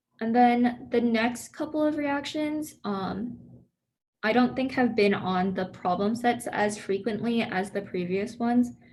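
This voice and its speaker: A woman talks at a very slow pace, her voice somewhat breathy. Audible room echo surrounds her words. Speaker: student peer tutor. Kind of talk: review session lecture. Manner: casual, filler-heavy.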